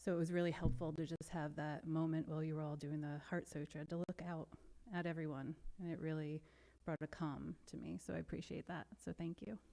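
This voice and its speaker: A woman speaks at a very deep, low pitch in a dark, mellow tone. Her pace is fairly quick and her intonation fairly even. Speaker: guest speaker. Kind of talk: dharma talk. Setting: meditation center service before an audience. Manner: fast.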